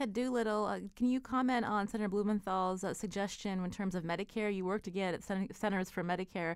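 This woman talks at a very fast pace. Her pitch sits in the medium range, with ordinary variation. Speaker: radio host. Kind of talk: radio interview. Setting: studio.

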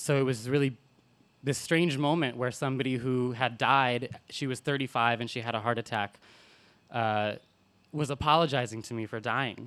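A man with an American accent speaks at a moderate pace. His pitch is medium, and the recording is very clean with a silent background. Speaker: storyteller. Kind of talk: live personal storytelling. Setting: stage with audience. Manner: animated; humorous, conversational.

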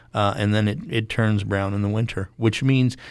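An ordinary speaking voice from a man, fairly low in pitch, at a moderate pace with ordinary pitch variation. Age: 60s. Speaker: horticulturist and gardening podcast co-host. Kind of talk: radio call-in interview.

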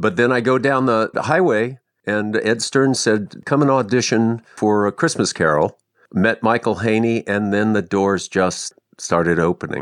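A man with an American accent and an unremarkable speaking voice talks at a moderate pace and medium pitch, with ordinary pitch variation and very even loudness, in a dry, close sound with no echo and a quiet background. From Ohio, US Midwest. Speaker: actor. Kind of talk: interview.

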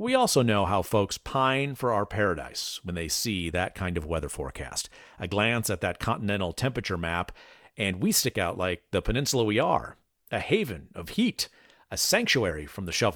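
A man's normal speaking voice, fairly low in pitch, at a moderate pace with lively intonation. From Chicago area, US Midwest. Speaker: public radio host. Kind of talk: scripted narration; radio call-in show.

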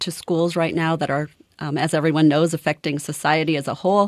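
With a plain, everyday voice, a woman talks at a fairly quick pace and a fairly low pitch, in a dry, close sound with no echo on a very clean recording with a silent background. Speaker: head of a school board association. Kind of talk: radio interview.

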